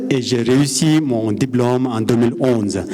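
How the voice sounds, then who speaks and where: Very slowly, a man speaks at a medium pitch with ordinary pitch variation, amid noticeable background noise and audible room echo. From Nepal. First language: Nepali or Sherpa (speaking French). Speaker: mountain guide. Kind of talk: conference talk. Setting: stage with audience. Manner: halting.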